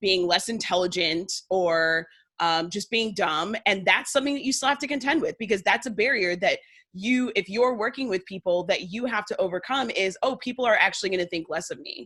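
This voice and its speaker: A woman speaks with a Northern US accent and lively intonation. Her tone is bright, sharp and animated. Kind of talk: casual interview chat.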